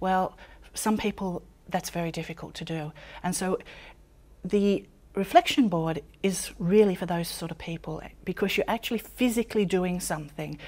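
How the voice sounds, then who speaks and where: The speaker leaves long, frequent pauses, with big swings in loudness and ordinary pitch variation. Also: woman, medium pitch for a woman, moderate pace. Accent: Australian. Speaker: author and personal development teacher. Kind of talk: interview monologue.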